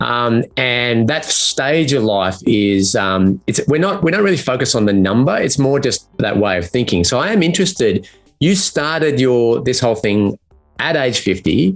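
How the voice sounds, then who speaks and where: A man with an Australian accent talks at a moderate pace and medium pitch over music in the background. His pitch swings very widely while his loudness stays very even. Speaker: community host. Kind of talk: interview. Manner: halting.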